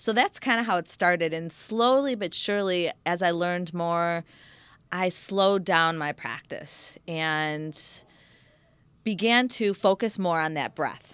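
A woman's ordinary speaking voice, fairly low in pitch with ordinary pitch variation and a fairly slow pace, on a very clean recording with a silent background. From Michigan, US. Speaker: yoga instructor and raw food chef. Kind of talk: interview.

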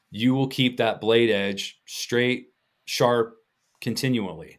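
A very slow American accent with ordinary pitch variation, long, frequent pauses, and a very clean recording over a silent background. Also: man. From Colorado. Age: 50s. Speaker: butcher and instructor. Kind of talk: casual interview chat. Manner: animated.

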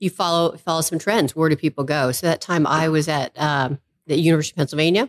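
A woman with an American accent speaks very fast at a very deep, low pitch. The sound is dry and close, with no echo. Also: quiet background. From Maine, US. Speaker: venture capital investor. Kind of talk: podcast interview.

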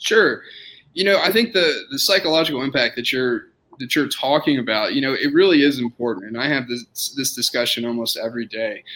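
A man with an American accent talks at a fairly quick pace in an ordinary speaking voice, his fairly high pitch moving in a lively intonation. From Austin, Texas. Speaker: orthopedic surgeon. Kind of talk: casual interview.

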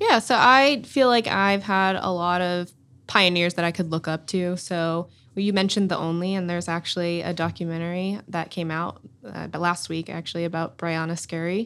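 A plain, everyday voice with an American accent speaks at a moderate pace with ordinary pitch variation, in a very clean recording over a silent background. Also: woman, fairly low pitch for a woman. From US South, Durham, North Carolina. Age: 20s. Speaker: professional soccer player. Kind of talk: interview.

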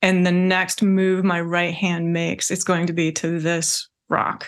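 In a fairly slow pace and with an American accent, a woman speaks at a fairly low pitch in an ordinary speaking voice, on a very clean recording with a silent background. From Washington State, US. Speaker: meditation teacher and English professor. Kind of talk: interview about spirituality.

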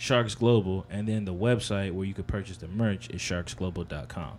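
At a moderate pace, a man talks in a fairly low voice. His pitch variation is ordinary. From New Jersey (Edison, Piscataway). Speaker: clothing designer. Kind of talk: casual chat.

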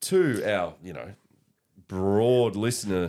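An Australian accent colors this man's speech. His voice sits fairly low. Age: 30s. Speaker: podcast co-host. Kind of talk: casual chat. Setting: studio.

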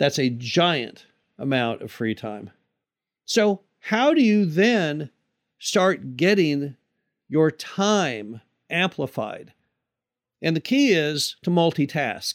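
In a very clean recording with a silent background, a man with an American accent speaks at a very slow pace, his pitch swinging very widely between long, frequent pauses. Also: dry, close sound with no echo. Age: 60s. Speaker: podcast host, mobile home park investor. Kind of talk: solo podcast monologue.

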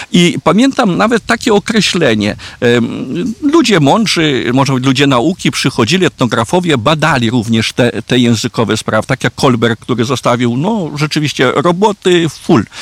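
A man's fairly high voice with very wide pitch swings and very even loudness, in a dry, close sound with no echo. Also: moderate pace. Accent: Belarusian. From Podlasie, Poland, near Belarus border. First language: Belarusian (speaking Polish). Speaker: Franciscan priest, parish priest. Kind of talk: interview on history. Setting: outdoors in castle courtyard. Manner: halting.

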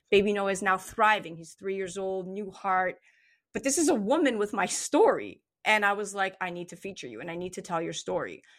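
At a fairly quick pace, a woman with a plain, everyday voice speaks at a medium pitch with ordinary pitch variation, in a very clean recording with a silent background. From Montreal, Canada. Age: 30s. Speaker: actress and radio host. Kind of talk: casual chat.

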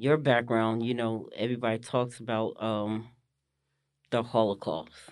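A man with an American accent talks fairly slowly at a medium pitch, his intonation fairly even. It is a plain, everyday voice against a quiet background. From northern New Jersey. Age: 40s. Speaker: visually impaired abstract painter. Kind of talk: casual interview. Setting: studio.

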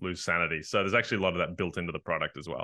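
The man's voice sits very deep and low. He speaks with an American accent. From rural US, forested countryside. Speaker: game writer. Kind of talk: interview. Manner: hesitant, many fillers.

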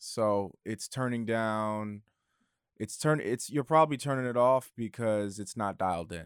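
An unremarkable speaking voice from a man, fairly slow with ordinary pitch variation, in a very clean recording with a silent background. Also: medium pitch for a man. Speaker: audio engineer and podcast editor. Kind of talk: casual tutorial conversation.

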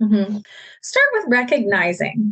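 Somewhat breathy and fairly high in pitch, a woman speaks at a moderate pace. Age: 30s. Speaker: clinical psychologist. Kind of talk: interview.

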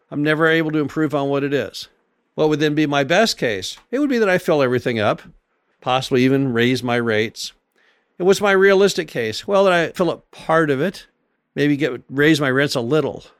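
A man with an unremarkable speaking voice and lively intonation talks over a silent background in a very clean recording. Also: fairly high pitch for a man, fairly quick pace. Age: 60s. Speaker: podcast host and real estate investor. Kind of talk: solo monologue podcast.

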